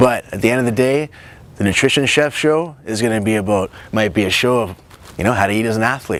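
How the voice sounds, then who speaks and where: Noticeable background noise sits under a man talking at a very fast pace. His pitch is medium, with ordinary variation. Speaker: nutritionist and show host. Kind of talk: personal introduction to camera. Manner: animated.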